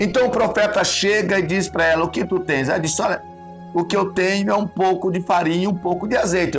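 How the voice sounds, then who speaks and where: With music in the background, a man speaks at a high pitch with ordinary pitch variation. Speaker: pastor. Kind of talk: sermon preaching to a congregation.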